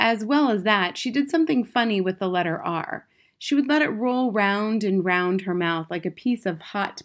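Reading voice, natural.

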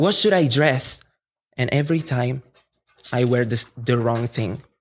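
A man with an Italian accent speaks at a moderate pace in a medium-pitched voice. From Italy. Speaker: student. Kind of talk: storytelling performance. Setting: stage with audience.

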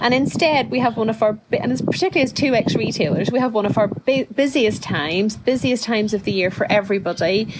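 Over noticeable background noise, a woman talks very fast with hardly any pauses, her fairly high voice showing lively intonation at a very even loudness. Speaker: podcast host. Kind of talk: casual chat.

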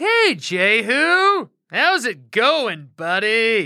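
A put-on character voice, fairly high in pitch, with very wide pitch swings and a very slow pace. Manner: fake friendly.

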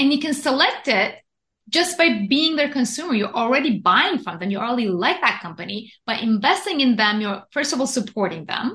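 Her pitch high and her tone bright and sharp, a woman talks at a fairly quick pace with very wide pitch swings. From Iran. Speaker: investment educator and author. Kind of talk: interview.

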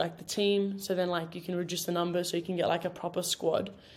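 This speaker has an Australian accent and a monotone, flat intonation. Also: woman. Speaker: college footballer. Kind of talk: casual chat.

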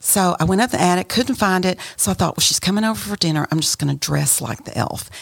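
A woman with an American accent talks at a very fast pace with lively intonation, over noticeable background noise. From West Texas, Amarillo. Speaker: caterer. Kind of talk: casual chat.

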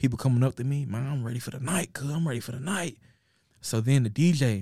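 A man with an American accent speaks very fast at a medium pitch. His voice is somewhat breathy, with ordinary pitch variation. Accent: Southern US, Memphis-like. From Nashville, Tennessee. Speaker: rapper. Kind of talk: casual chat. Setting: studio. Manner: animated.

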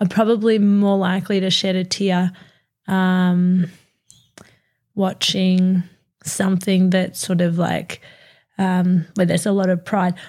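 A woman speaks at a medium pitch in an Australian accent, somewhat breathy and with monotone, flat intonation. Her pace is fairly slow with long, frequent pauses, on a very clean recording with a silent background. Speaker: podcast co-host. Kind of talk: casual chat. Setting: studio.

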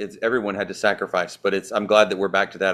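A man with a Southern US accent speaks at a fairly low pitch and a very fast pace, in a monotone, flat intonation. The recording is very clean, with a silent background. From US South. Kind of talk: interview.

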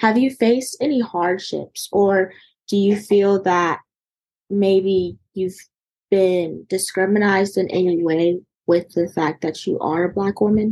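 A woman with an American accent has a dark, mellow tone at medium pitch. She speaks at a fairly slow pace with fairly even intonation. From North Carolina. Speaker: podcast host. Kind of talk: podcast interview.

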